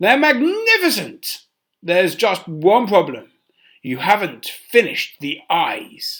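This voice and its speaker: A man's put-on character voice, high-pitched, with very wide pitch swings and a fairly slow pace. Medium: read story. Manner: commanding, imperious.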